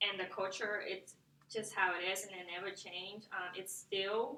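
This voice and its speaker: A woman's bright, sharp tone at medium pitch and a moderate pace. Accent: Vietnamese. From Vietnam. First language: Vietnamese. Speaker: student. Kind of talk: class presentation. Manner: halting, many fillers.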